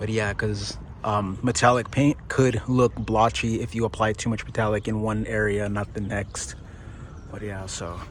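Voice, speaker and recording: Against noticeable background noise, a man with fairly low pitch speaks at a moderate pace with fairly even intonation. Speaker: DIY car painter. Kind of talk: tutorial. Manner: casual, halting with fillers.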